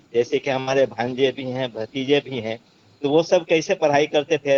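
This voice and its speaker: This is a man with a normal speaking voice. His pitch is fairly high, with ordinary pitch variation. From Bihar, India. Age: 60s. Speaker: webinar participant. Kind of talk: online discussion.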